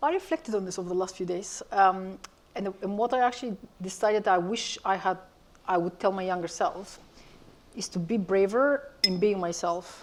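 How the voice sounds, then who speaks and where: Here is a woman with a Bulgarian accent at a moderate pace. Her pitch is medium, with ordinary variation. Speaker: media industry executive, panellist. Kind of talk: panel discussion.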